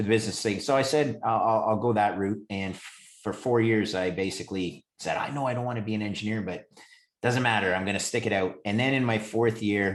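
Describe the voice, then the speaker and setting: With a Canadian accent, a man talks fairly quickly in a fairly low voice with fairly even intonation. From Canada, Montreal. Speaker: credit trader. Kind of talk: interview. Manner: halting, many fillers.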